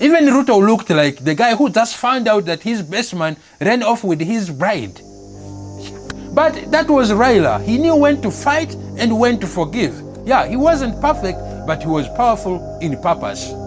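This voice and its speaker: Over background music, a man speaks at a moderate pace in a high pitch with very wide swings. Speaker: comedy news host. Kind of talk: satirical news monologue.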